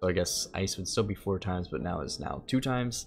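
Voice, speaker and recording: A man speaks with a very deep, low pitch. Light background noise can be heard. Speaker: gaming YouTuber; gaming content creator. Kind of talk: gameplay commentary. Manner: casual, many filler words. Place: home room.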